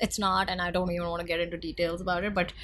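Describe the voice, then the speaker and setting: A woman with an Indian accent speaks at a fairly low pitch, with vocal fry in her voice. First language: Hindi. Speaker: podcast co-host. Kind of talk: casual chat. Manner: animated.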